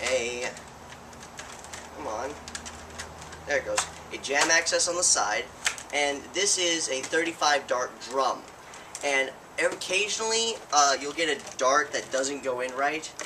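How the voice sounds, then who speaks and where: A man with a fairly high pitch speaks at a fairly slow pace with ordinary pitch variation. There are long, frequent pauses and noticeable background noise. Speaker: YouTube toy blaster reviewer. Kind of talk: product review. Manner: stuttering; halting, many self-corrections.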